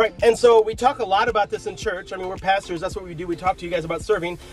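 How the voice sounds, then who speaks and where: Against faint background music, a man with a high pitch talks very fast with fairly even intonation. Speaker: youth pastor. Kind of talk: casual vlog chat. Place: car. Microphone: phone near.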